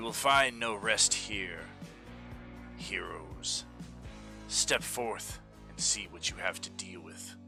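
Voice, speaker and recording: A man in a booming, put-on character voice speaks at a very slow pace, with big swings in loudness, long, frequent pauses and clear music in the background. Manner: menacing, declaiming.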